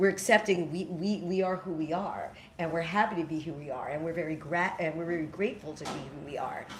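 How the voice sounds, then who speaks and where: At a very fast pace with hardly any pauses, the speaker talks in an American accent with ordinary pitch variation, amid audible room echo and noticeable background noise. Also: woman, fairly low pitch for a woman. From New York City. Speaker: spiritual teacher and storyteller. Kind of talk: talk with audience Q&A.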